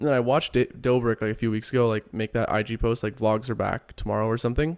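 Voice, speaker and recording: Mumbling at a very fast pace, a man speaks at a medium pitch in a dry, close sound with no echo. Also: fairly even intonation. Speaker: podcast co-host. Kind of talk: casual chat.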